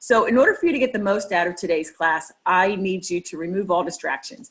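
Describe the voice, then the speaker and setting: At a fairly quick pace, a woman talks with medium pitch. Her pitch variation is ordinary. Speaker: real estate coach. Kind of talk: lecture. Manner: fast.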